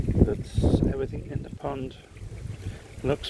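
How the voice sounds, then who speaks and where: A fairly quick pace from a man, with noticeable background noise in the recording. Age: 70s. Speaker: koi pond hobbyist video maker. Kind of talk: casual tutorial vlog.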